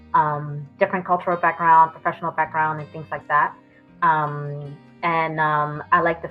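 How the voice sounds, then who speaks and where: With music playing in the background, a woman with a French accent speaks at a moderate pace in a fairly low pitch. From France and Miami. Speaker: therapist. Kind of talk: interview answers. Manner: hesitant with many fillers.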